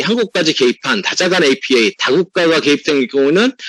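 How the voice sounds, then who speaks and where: A man talks with lively intonation and a bright, sharp tone. The sound is dry and close, with no echo. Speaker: tax accountant. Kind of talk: webinar presentation. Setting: online webinar. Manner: fast.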